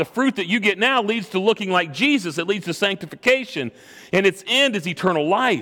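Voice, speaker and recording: A man's raised, projected voice comes at a fairly quick pace, high in pitch with a bright, sharp tone and lively intonation. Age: 40s. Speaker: pastor. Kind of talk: sermon.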